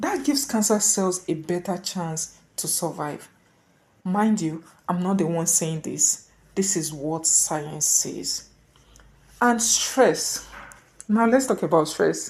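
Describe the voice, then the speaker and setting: A woman talks at a very slow pace with long, frequent pauses. Her intonation is lively. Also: fairly low pitch for a woman. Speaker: health explainer video creator. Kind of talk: casual educational talk to camera. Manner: slightly halting, repeats words.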